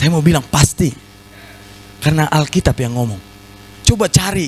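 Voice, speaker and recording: A man with a fairly high pitch speaks in an animated tone over noticeable background noise. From North Sumatra (Batak). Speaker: pastor. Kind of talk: sermon.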